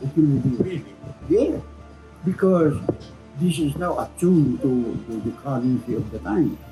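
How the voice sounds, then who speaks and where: A man at a moderate pace with lively intonation and long, frequent pauses, music playing in the background. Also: fairly high pitch for a man. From Philippines. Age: 80s+. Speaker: Freemason. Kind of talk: interview answer.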